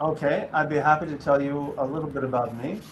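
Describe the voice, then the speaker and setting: This man's voice is fairly high in pitch and moves at a moderate pace. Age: 60s. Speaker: teacher and interfaith activist. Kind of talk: interview. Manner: halting, many fillers.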